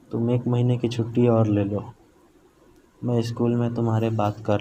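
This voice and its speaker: Somewhat breathy, a man speaks in a medium pitch with a dark, mellow tone and monotone, flat intonation. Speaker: horror story narrator. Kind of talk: first-person horror story narration.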